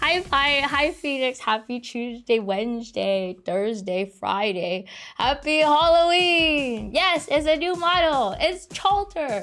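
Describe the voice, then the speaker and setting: Over music in the background, a woman speaks very slowly at a high pitch with very wide pitch swings and hardly any pauses. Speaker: VTuber streamer. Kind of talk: casual live stream chat. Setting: live stream. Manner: slurred words.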